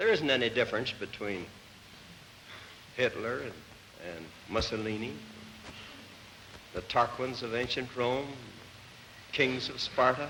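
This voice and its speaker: A man with an American accent talks at a fairly slow pace, taking long, frequent pauses. His medium-pitched voice has ordinary pitch variation and big swings in loudness. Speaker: politician. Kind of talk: impromptu speech.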